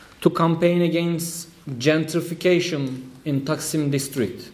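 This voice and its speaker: A fairly slow, fairly even delivery with a Turkish accent and audible room echo. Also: man. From Turkey. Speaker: trade union official. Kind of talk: conference speech. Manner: halting.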